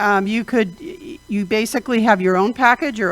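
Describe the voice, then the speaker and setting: A woman speaks at medium pitch. Her pitch variation is ordinary. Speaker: panelist. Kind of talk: panel discussion. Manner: loud.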